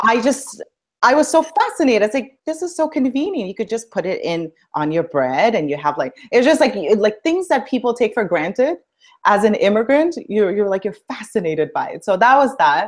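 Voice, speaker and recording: A woman with vocal fry talks at a fairly quick pace, her pitch swinging very widely. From India, moved to Canada at 11. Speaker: dance instructor and aspiring public speaker. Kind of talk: interview. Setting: live stream video call.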